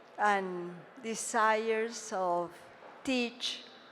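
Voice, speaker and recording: With a non-native accent, a woman talks at a medium pitch and with fairly even intonation, and audible room echo surrounds her voice. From Colombia. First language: Spanish. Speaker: audience member. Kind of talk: audience sharing at talk.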